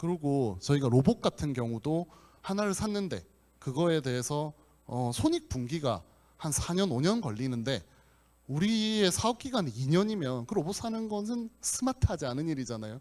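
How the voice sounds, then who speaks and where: On a very clean recording with a silent background, a man with a fairly high pitch talks at a moderate pace with very wide pitch swings. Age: 40s. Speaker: company president, conference speaker. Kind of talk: conference talk. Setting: conference hall with audience. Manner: hesitant fillers (uh).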